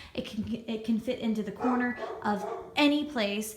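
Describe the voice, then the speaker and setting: Audible room echo and noticeable background noise surround the speaker. She is a woman with a fairly high pitch. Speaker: musician and video host. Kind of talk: casual vlog tutorial. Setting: home living room. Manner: animated; soft-spoken.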